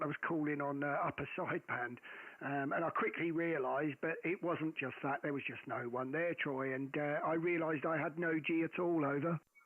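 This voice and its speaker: This man speaks at a fairly quick pace with hardly any pauses, his fairly high voice keeping a fairly even intonation. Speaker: ham radio operator. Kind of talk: radio contact. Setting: amateur radio contact. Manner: loud.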